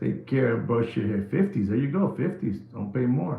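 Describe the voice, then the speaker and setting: A man with a New York accent, animated and with very wide pitch swings, over noticeable background noise. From New York City (the Bronx), Puerto Rican family. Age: 60s. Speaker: watch market commentator. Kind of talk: live stream monologue. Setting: live stream.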